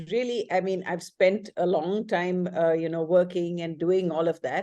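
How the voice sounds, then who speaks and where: Dark, mellow tone from a woman, set against a quiet background. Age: 60s. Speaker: webinar participant. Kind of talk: casual group discussion. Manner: halting, many fillers.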